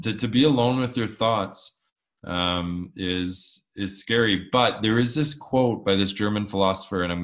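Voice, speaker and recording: In a normal speaking voice, a man with fairly low pitch talks at a moderate pace with fairly even intonation. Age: 30s. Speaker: mental health advocate. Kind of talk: interview.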